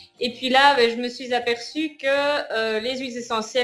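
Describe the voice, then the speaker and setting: A woman speaks at a moderate pace. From Belgium. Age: 40s. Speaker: course participant giving testimonial. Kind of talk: interview. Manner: halting.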